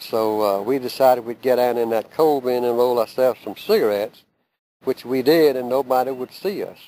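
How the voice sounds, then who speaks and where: With a Southern US accent, a man speaks at a fairly quick pace in a medium-pitched voice with a dark, mellow tone. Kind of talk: oral history storytelling.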